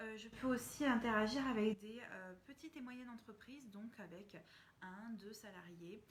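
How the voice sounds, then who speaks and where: At a fairly slow pace, the somewhat breathy voice shows big swings in loudness. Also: woman. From France. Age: 30s. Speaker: communication consultant and trainer. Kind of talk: casual live stream talk to viewers.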